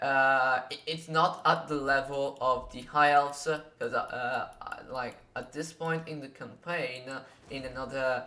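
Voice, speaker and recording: In a non-native accent, someone speaks at a fairly slow pace with noticeable background noise. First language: not English. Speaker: gaming youtuber. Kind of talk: tutorial. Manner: halting, many fillers.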